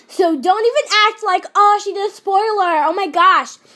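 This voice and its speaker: At a fairly slow pace, a woman speaks in a raised, projected voice with an extremely high pitch and a bright, sharp tone. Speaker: video commentator. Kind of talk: casual, chatty.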